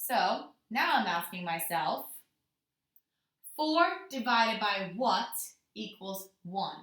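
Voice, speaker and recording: A woman talks at a very slow pace, with long, frequent pauses and lively intonation. Her tone is bright and sharp, and the room echo is audible. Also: medium pitch for a woman. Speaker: elementary school teacher. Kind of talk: tutorial.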